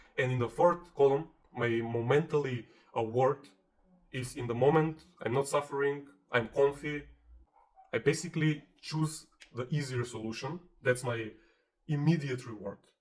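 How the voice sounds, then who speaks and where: A man talks with a non-native accent and fairly even intonation. He leaves long, frequent pauses. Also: fairly high pitch for a man, moderate pace. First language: not English. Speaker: self-help video creator. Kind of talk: motivational tutorial. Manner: casual, conversational.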